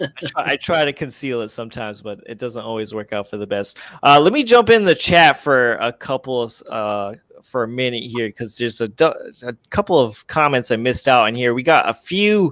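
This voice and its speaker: Recorded in a dry, close sound with no echo, a man with an American accent talks at a fairly quick pace and medium pitch, with lively intonation and big swings in loudness. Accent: Boston accent, usually kept in check. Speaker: comics YouTuber and livestream host. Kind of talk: casual livestream chat.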